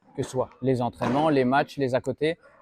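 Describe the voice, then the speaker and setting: Fairly quick speech from a man at a medium pitch. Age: 20s. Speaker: professional padel player and vlogger. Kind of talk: casual channel introduction to camera. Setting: padel club. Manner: casual, hesitant with many fillers.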